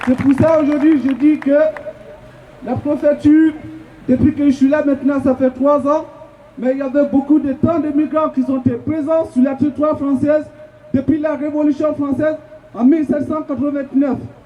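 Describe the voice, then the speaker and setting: Against noticeable background noise, a man speaks at an extremely high pitch in a flat monotone, with long, frequent pauses. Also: moderate pace. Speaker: migrant activist. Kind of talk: protest speech. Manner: halting.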